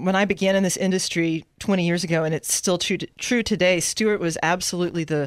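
Captured in a very clean recording with a silent background, a normal speaking voice with an American accent moves at a fairly quick pace. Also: woman. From San Antonio, Texas. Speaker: attorney in corporate development.

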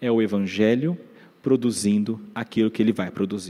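A man speaks in a Brazilian accent at a moderate pace and a medium pitch. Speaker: preacher. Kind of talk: sermon. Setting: church. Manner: earnest, expository, urgent; measured, teacherly, warm.

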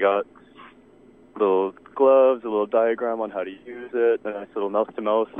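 Here a man talks at a medium pitch. His intonation is monotone and flat. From Canada. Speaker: caller. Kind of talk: casual chat. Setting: phone call.

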